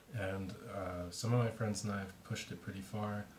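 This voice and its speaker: Mumbling at a moderate pace, a man is heard over noticeable background noise. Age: young. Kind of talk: casual talk to camera. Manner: mumbling, halting, many filler words.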